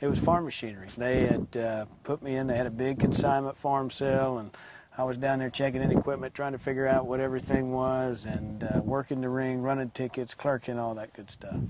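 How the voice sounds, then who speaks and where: Over music in the background, a man speaks in a monotone, flat intonation with hardly any pauses. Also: medium pitch for a man, fairly quick pace. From Tennessee. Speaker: auctioneer. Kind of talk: interview answer.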